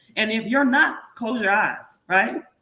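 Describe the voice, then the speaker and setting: A woman with an American accent speaks loudly in a bright, sharp tone. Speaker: podcast co-host. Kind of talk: casual chat. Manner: fast.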